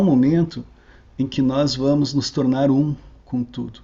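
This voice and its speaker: A man's somewhat breathy voice sits at a medium pitch and stays monotone and flat. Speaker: researcher giving a talk. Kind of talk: online lecture. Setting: online video call.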